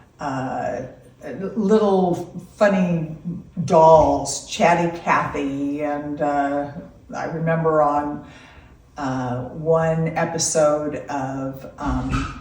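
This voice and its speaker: A woman's very deep, low voice at a very slow pace, with long, frequent pauses, audible room echo and noticeable background noise. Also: ordinary pitch variation. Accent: American. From California (Loomis). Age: 60s. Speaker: grandmother being interviewed. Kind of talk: casual interview. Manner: hesitant with fillers.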